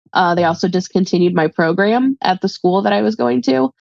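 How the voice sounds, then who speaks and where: Against a quiet background, a woman speaks at a moderate pace and medium pitch with ordinary pitch variation and a dry sound with no echo. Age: 30s. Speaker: guest seeking money advice; guest. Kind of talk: personal money coaching conversation. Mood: candid, sometimes rueful. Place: home room. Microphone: video call.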